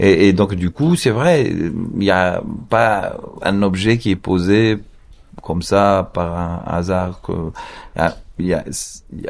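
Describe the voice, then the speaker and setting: His pitch fairly low, a man talks with ordinary pitch variation. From Morocco. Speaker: film director. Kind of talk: interview. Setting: outdoor hotel patio. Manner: halting.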